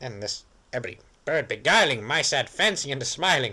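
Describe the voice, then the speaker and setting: This is a man's voice. He uses a put-on character voice. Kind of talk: poetry reading. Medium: read story.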